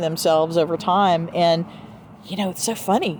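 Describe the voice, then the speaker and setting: Speaking in a Southern US accent, a woman takes a fairly slow pace. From US South. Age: 60s. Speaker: podcast host. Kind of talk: casual chat. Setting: outdoors.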